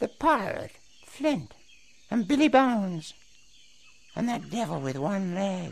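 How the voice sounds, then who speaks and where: Putting on a character voice with a high pitch, a man speaks at a fairly slow pace with long, frequent pauses. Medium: audio drama. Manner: laughing, excitable.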